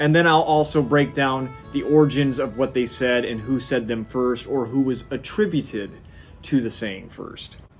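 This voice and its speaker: With music in the background, a man with an American accent speaks at a moderate pace and medium pitch, with ordinary pitch variation. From US Midwest. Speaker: YouTube history presenter. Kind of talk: casual educational talk to camera. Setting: studio.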